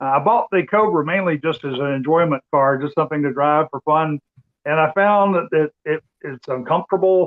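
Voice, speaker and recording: Speaking at a moderate pace, a man uses an ordinary speaking voice. His pitch is fairly high and shows ordinary variation. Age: 60s. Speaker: retired amateur racer. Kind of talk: casual chat.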